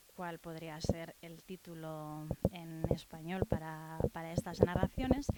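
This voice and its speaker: A woman speaks very slowly in a Basque accent. Noticeable background noise runs under her voice. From Basque Country. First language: Basque (speaking Spanish). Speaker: writer. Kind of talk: book presentation talk. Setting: bookshop with audience. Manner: hesitant, many fillers.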